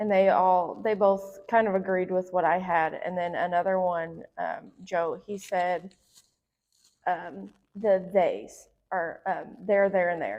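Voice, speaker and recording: In a Southern US accent, a woman speaks at a medium pitch and a very slow pace. Her intonation stays fairly even. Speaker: podcast co-host. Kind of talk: casual chat.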